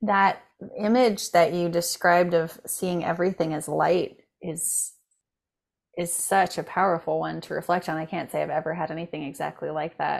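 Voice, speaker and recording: A woman's plain, everyday voice at a fairly low pitch, with fairly even intonation and a moderate pace. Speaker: podcast host. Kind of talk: casual interview chat. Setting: video call.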